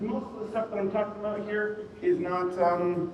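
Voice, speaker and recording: A man is speaking over noticeable background noise. The room has an audible echo. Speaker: security engineer, conference speaker. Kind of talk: conference talk. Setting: stage with audience. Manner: projecting. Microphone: quiet mic.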